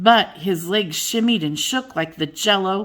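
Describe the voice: Someone is doing plain reading aloud here.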